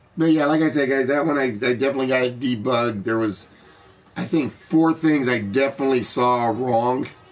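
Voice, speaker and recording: A man speaks at a fairly quick pace with medium pitch and ordinary pitch variation, over noticeable background noise. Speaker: game show host streamer. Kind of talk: live stream game show chat. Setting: live stream.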